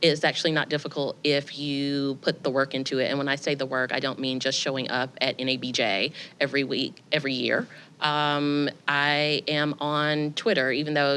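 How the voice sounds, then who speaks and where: With a Southern US accent, a woman speaks in a very deep, low pitch and a bright, sharp tone, showing ordinary pitch variation in a very clean recording with a silent background. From US South. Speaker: editor. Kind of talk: panel discussion.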